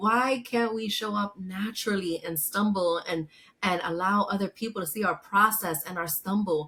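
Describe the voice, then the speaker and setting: A woman at medium pitch and moderate pace, with a bright, sharp tone and fairly even intonation. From New York City, Lower East Side. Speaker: psychotherapist and author. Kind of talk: interview.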